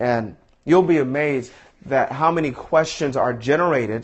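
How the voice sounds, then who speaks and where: At a moderate pace, a normal speaking voice delivers fairly even intonation. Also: man. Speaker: motivational speaker. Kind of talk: live stream tutorial. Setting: live broadcast.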